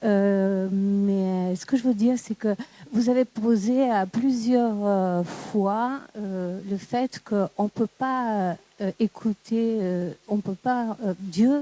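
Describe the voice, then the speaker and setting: Speaking very slowly with a non-native accent, a woman has a dark, mellow tone at medium pitch, fairly even intonation, and a dry, close sound with no echo. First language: not French (speaking French). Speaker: audience member. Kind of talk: audience question. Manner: halting, searching for words.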